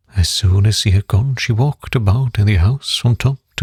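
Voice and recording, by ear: A quiet background behind reading aloud in a natural voice, its pitch varying in an ordinary way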